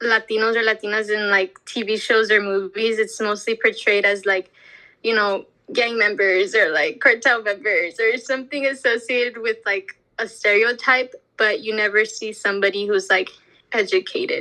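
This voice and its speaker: A woman with an American accent, fairly high pitch, bright and sharp tone, fairly even intonation, and a moderate pace. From US, Mexican American community. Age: 20s. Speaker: interviewee. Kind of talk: interview.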